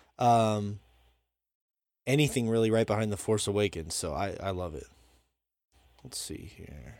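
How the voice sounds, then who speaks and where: The speaker has an American accent, with big swings in loudness. The recording is very clean, with a silent background. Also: man. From Montana. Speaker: podcast host. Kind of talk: casual chat. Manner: fast.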